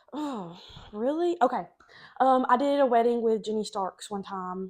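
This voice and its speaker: A woman's fairly high voice at a moderate pace, with ordinary pitch variation and a quiet background. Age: 20s. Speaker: wedding photographer. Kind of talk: casual chat.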